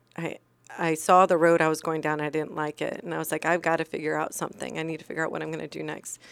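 A woman with a very deep, low pitch, vocal fry, monotone, flat intonation and a very fast pace. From moved around as military child; California, Iceland, then Virginia. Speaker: former police officer, crash survivor. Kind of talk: interview, personal story.

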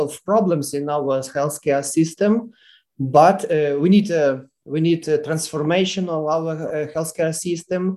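Speaking in a Ukrainian accent, a man uses a fairly high pitch and a dark, mellow tone, with ordinary pitch variation at a fairly slow pace. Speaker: family physician. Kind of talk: interview.

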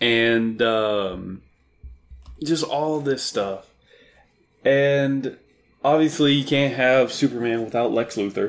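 At a very slow pace with long, frequent pauses, a man speaks at a medium pitch with ordinary pitch variation. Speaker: podcast co-host. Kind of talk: casual chat. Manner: loud.

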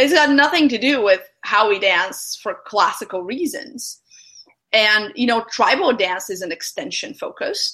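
Using a bright, sharp tone, a woman speaks high in pitch with very wide pitch swings at a moderate pace. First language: not English. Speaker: podcast host. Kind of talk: casual interview.

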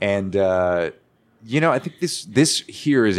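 The man has a normal speaking voice with an American accent. He speaks at a moderate pace with a fairly low pitch. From Arizona, Paulden/Chino Valley. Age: 20s. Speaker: guitarist and radio personality. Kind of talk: casual chat. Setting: saloon.

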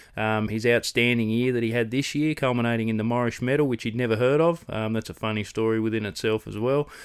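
A man with an Australian accent at a very fast pace, hardly any pauses, on a very clean recording with a silent background. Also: medium pitch for a man, fairly even intonation. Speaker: podcast host. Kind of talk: casual interview chat.

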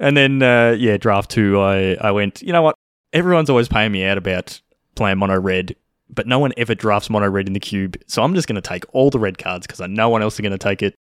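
Talking at a very fast pace, a man with an Australian accent uses a fairly low pitch with ordinary pitch variation. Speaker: podcast host. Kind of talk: casual chat.

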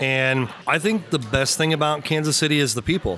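Fairly high-pitched, a man talks at a fairly quick pace with an American accent. Noticeable background noise runs underneath. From Missouri, Lexington. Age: 40s. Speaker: brewery marketing manager. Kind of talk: casual chat. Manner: animated.

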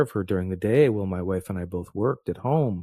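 This man speaks with a very deep, low pitch and a dark, mellow tone. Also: dry, close sound with no echo. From Canada. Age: 40s. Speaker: podcast co-host, father. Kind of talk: casual chat. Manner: halting, many fillers.

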